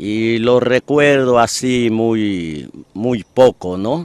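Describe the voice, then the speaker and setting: Here a man talks at a medium pitch. The sound is dry, with no echo. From Ecuador, Esmeraldas province (Quinindé); Esmeraldas, Ecuador. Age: 60s. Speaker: poet and local historian; poet. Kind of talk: interview. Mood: reflective, calm reminiscing. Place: waterside. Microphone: handheld.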